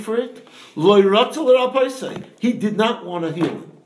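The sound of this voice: A man speaks at a fairly slow pace, pitched high for a man. His intonation is lively, and strong room echo surrounds him.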